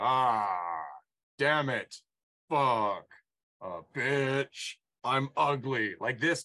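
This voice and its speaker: Using a put-on character voice, a man with a medium pitch speaks at a very slow pace with long, frequent pauses and ordinary pitch variation in a dry, close sound with no echo. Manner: monstrous.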